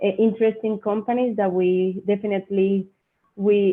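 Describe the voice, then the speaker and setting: A woman with a Spanish accent speaks at a moderate pace in a monotone, flat intonation. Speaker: mining company representative. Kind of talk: Q&A after a presentation. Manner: halting.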